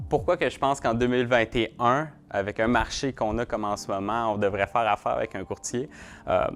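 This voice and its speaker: A man speaks with a Quebec accent at medium pitch and a fairly quick pace. His pitch varies in an ordinary way. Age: young. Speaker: real estate broker. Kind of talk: interview answers. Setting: video shoot. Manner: hesitant, many fillers and repetitions.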